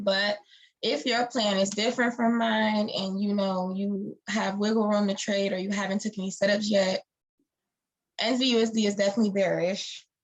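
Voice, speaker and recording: This woman's voice sits at a medium pitch and is somewhat breathy. Her intonation stays monotone and flat at a moderate pace. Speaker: forex trader and educator. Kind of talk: live-streamed market analysis tutorial. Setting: live stream. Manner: casual, with many fillers.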